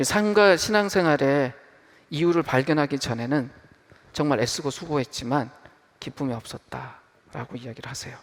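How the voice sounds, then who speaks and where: With lively intonation and big swings in loudness, a man speaks in a normal speaking voice at a fairly high pitch. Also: moderate pace. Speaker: pastor. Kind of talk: sermon. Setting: church.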